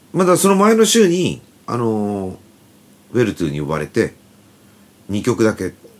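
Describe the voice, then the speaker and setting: A man with a medium pitch speaks at a moderate pace, making very wide pitch swings and taking long, frequent pauses. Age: 50s. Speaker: band guitarist and podcast host. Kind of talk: casual chat.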